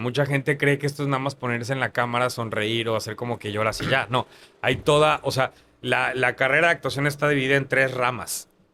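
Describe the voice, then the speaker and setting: A man talks at a fairly quick pace, his bright, sharp tone held to a fairly even intonation. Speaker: actor. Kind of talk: interview conversation.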